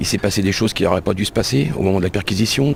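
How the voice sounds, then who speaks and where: Noticeable background noise sits behind a man speaking in a fairly low pitch with ordinary pitch variation. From France, Le Mans. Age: 60s. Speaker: released prisoner. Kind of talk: testimony.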